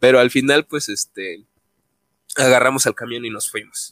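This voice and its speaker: A man's voice at a moderate pace, dry and close with no echo. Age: 20s. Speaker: podcast co-host. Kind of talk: casual chat.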